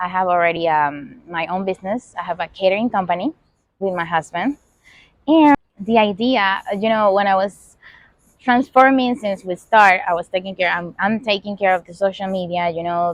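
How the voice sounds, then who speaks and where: A woman speaks with a Venezuelan accent at a medium pitch. Her pitch varies in an ordinary way, and her pace is moderate. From Venezuela, Caracas. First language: Spanish. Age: 30s. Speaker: podcast host. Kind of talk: casual monologue. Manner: halting, many fillers.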